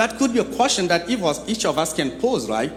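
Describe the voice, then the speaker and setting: A man's voice rises and falls in very wide pitch swings. Audible room echo surrounds it. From Chad. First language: French. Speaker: nonprofit executive director, guest speaker. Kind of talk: sermon. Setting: church.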